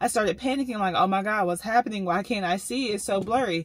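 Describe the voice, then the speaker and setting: Somewhat breathy and fairly high, a woman's voice moves at a fairly quick pace with lively intonation. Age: 30s. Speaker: lifestyle vlogger. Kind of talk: casual vlog narration.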